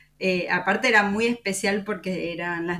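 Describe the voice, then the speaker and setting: A woman with an Argentine accent speaks at a fairly slow pace in a medium pitch, her tone bright and sharp and her intonation fairly even. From Córdoba, Argentina. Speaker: podcast host. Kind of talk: interview.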